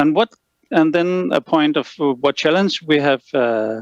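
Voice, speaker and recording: A man with a Danish accent speaks at a very slow pace, his fairly high voice showing lively intonation in a dry, close sound with no echo. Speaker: lighting consultant. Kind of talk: lecture. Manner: halting, many fillers.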